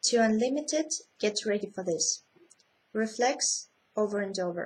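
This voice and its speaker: A woman with a fairly high pitch speaks somewhat breathily at a fairly slow pace, her intonation lively. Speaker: vlogger. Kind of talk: casual vlog, reading a list. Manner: halting, many fillers.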